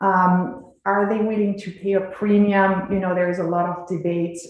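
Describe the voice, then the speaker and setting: A woman's fairly low voice in a slight French accent, at a moderate pace, with noticeable background noise and audible room echo. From France, rural village. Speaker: cheesemaker and dairy company representative. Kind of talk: presentation to a legislative committee. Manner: hesitant, many fillers.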